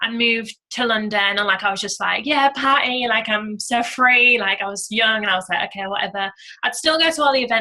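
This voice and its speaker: A woman with a British accent talks at a fairly quick pace, her fairly high voice bright and sharp in tone. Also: ordinary pitch variation. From UK. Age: 20s. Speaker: network marketing entrepreneur. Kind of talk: testimony. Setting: conference call. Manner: casual, filler-heavy.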